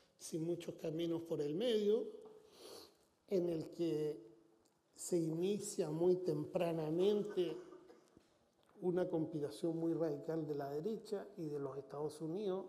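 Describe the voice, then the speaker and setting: A man's high-pitched voice, dark and mellow in tone, at a very slow pace with long, frequent pauses, ordinary pitch variation and audible room echo. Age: 60s. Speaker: foundation president, former political aide. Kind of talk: interview. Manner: halting with repetitions.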